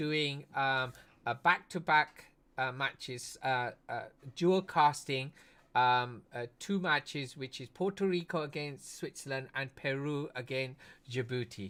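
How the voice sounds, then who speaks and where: Bright and sharp in tone, a man speaks with a fairly high pitch in an English accent. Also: very clean recording, silent background. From United Kingdom. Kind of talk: casual live-stream chat. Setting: live stream.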